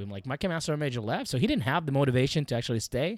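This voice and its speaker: In a very clean recording with a silent background and a dry, close sound free of echo, a man with an Arabic accent speaks at a fairly high pitch. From Iraq, Baghdad. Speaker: former Iraqi army NCO. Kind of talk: interview storytelling.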